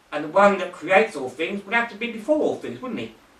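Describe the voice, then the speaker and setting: A man with a high-pitched voice, lively intonation and a fairly quick pace over noticeable background noise. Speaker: evangelist and Bible teacher. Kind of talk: Bible teaching.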